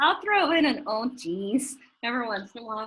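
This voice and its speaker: This voice carries a strong Southern US accent and swings very widely in pitch. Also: woman. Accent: strong Southern US drawl. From US South. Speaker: chef and business owner. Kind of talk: interview.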